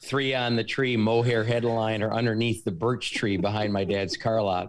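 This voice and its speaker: A man speaks in an unremarkable speaking voice at medium pitch and a moderate pace. His loudness stays very even and his intonation fairly even. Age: 50s. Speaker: car dealer. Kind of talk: casual chat.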